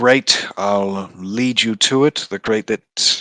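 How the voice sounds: Ordinary pitch variation runs through a natural reading voice set over a quiet background.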